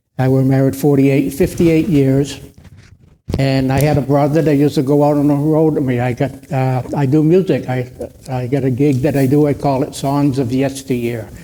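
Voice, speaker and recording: With an American accent, a man talks at a moderate pace in a fairly high pitch, his tone dark and mellow and his intonation fairly even. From central Massachusetts. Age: 80s+. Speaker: retired musician, panelist. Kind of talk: seminar panel chat.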